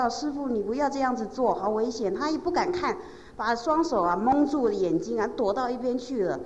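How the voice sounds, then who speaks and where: Lively intonation in a woman's high voice. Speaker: interpreter or assistant relaying testimonies. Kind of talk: storytelling testimony.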